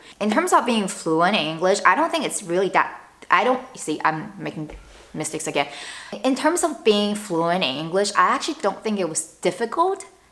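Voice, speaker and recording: The speaker moves at a fairly quick pace with very wide pitch swings, over noticeable background noise. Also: woman, medium pitch for a woman. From northern China. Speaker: lifestyle vlogger. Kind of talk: casual vlog talk to camera. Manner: conversational, with fillers and self-corrections.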